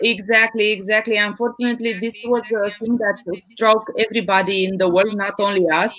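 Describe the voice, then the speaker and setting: Against noticeable background noise, a woman with a non-native accent talks fairly quickly in a fairly high, monotone, flat voice. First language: not English. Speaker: business team representative. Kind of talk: live online panel discussion. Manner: hesitant, many fillers.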